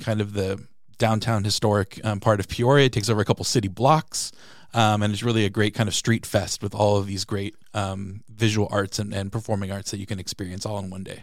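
A man with a plain, everyday voice and an American accent, fairly low-pitched, fairly quick and fairly even in intonation, in a very clean recording with a silent background. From San Diego, California. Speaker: city public arts program manager. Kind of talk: casual interview. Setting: studio.

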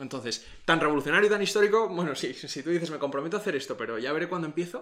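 A man's fairly high, fairly bright voice, very fast, with lively intonation

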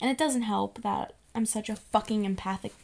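Moderate pace and fairly even intonation from a woman at medium pitch, an ordinary speaking voice. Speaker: podcast co-host. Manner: casual, profane, rambling.

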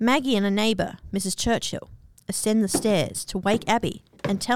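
Intonation stays fairly even. It is a natural reading voice.

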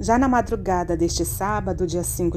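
A woman speaking at a fairly slow pace with music in the background. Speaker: horror story narrator. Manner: suspenseful, hushed and tense, building dread.

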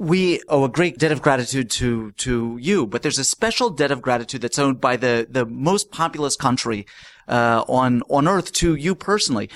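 A man's plain, everyday voice at medium pitch, with lively intonation, moderate pace and very even loudness, in a dry, close, echo-free recording that is very clean with a silent background. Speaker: podcast host. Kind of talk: scripted podcast intro and interview.

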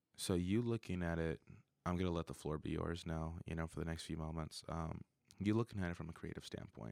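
Very deep and low, a man's voice moves at a fairly quick pace with ordinary pitch variation, recorded with a dry, close sound and no echo. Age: 20s. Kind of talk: casual chat. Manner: animated, frequent laughter.

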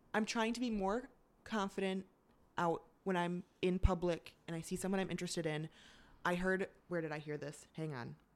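A woman at medium pitch with an ordinary speaking voice. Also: ordinary pitch variation, moderate pace. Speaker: guest.

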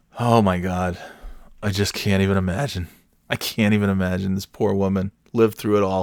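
The sound is dry and close with no echo as a man speaks at a moderate pace in a fairly low pitch. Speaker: podcast host. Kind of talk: casual solo monologue. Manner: low-energy, laid-back.

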